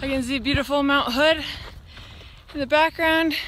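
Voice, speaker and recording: A woman speaks in a raised, projected voice with fairly even intonation at a moderate pace. The sound is dry with no echo, and there is light background noise. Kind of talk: casual vlog chat. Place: open country. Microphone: phone near.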